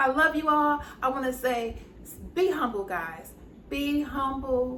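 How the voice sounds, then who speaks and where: A woman speaks at a fairly slow pace with a high pitch, lively intonation and a warm, animated tone, her loudness swinging widely. Audible room echo and noticeable background noise fill the recording. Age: 60s. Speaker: YouTube lifestyle host. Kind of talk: casual interview wrap-up.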